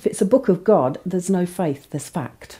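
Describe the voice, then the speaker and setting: A woman talks in an English Midlands accent. Her pace is moderate. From England, Northamptonshire. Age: 50s. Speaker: convert telling her story. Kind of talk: testimony.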